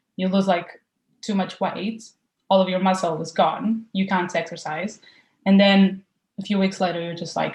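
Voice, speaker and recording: A woman with a Portuguese accent, somewhat breathy, in a monotone, flat intonation. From Portugal. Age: 20s. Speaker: university student, client. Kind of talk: interview.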